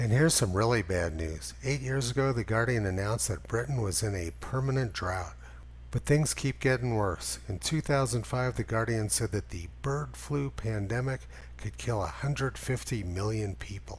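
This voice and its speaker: On a very clean recording with a silent background, a man speaks at a moderate pace with a fairly low, somewhat breathy voice and very wide pitch swings. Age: 60s. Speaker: climate skeptic commentator. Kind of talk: scripted narration.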